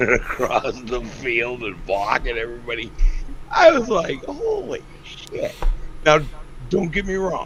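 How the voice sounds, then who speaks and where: Over noticeable background noise, a man talks at a fairly slow pace in an animated tone. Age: 60s. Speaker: fan guest. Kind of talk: casual chat.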